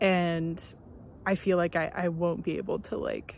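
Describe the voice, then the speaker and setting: A woman speaks very slowly at a medium pitch. The recording is very clean, with a silent background. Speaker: first-time vlogger. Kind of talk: casual vlog monologue. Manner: hesitant, many fillers.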